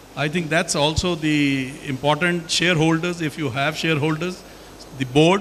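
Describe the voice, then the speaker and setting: A man speaks in a high pitch with fairly even intonation. Noticeable background noise runs underneath. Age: 70s. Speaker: company executive. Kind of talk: panel discussion.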